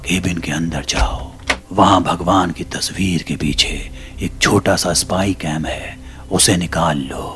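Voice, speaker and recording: Over clear background noise, a man puts on a character voice, very deep and low in pitch, at a fairly slow pace. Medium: read story.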